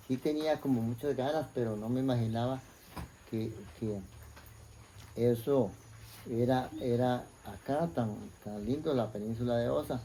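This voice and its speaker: Speaking at a fairly slow pace with long, frequent pauses, a man with a Costa Rican accent uses a medium pitch and ordinary pitch variation. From Costa Rica, Puriscal (San José province). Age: 60s. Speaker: interviewee sharing life story. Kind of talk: life story interview. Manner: hesitant, many fillers and repetitions.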